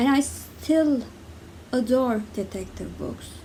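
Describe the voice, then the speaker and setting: A woman talks at a very slow pace, and her intonation stays fairly even. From Turkey. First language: Turkish. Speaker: book reviewer. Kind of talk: casual talk to camera.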